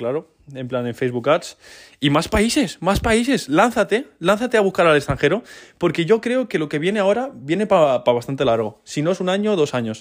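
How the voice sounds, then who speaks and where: A man at a fairly quick pace with very wide pitch swings, on a very clean recording with a silent background. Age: 20s. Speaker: entrepreneur podcaster. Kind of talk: casual solo podcast monologue.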